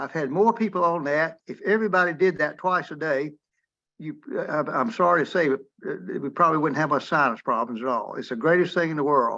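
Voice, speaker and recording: Over a quiet background, a man with a fairly high pitch and a bright, sharp tone talks at a fairly quick pace with ordinary pitch variation. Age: 80s+. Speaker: retired physician, webinar attendee. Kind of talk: casual discussion in webinar Q&A. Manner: halting, repetitive.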